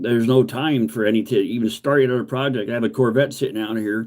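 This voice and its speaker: Talking at a fairly quick pace, a man uses an unremarkable speaking voice at a medium pitch. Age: 50s. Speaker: car restoration YouTuber. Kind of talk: livestream chat. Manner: rambling with many fillers.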